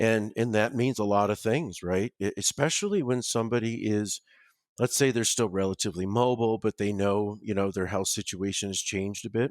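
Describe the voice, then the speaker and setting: Someone with an American accent speaks at a fairly quick pace with fairly even intonation, in a very clean, dry, close recording with a silent background and no echo. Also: man, fairly low pitch for a man. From Ohio, US. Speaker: home care business owner and nurse. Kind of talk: podcast interview. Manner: halting, many fillers and repeated words.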